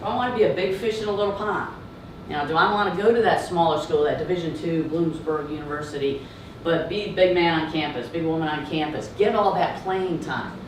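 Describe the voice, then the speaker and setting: With a slight Southern US accent, a woman speaks at a fairly quick pace in a fairly low pitch with ordinary pitch variation, over noticeable background noise and audible room echo. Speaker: entrepreneur and former college coach. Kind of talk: startup pitch.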